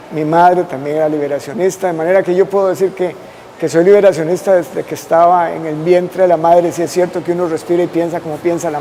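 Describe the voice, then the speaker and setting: Over noticeable background noise, a high-pitched man talks at a very fast pace in a monotone, flat way. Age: 60s. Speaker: constitutional lawyer. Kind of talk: interview.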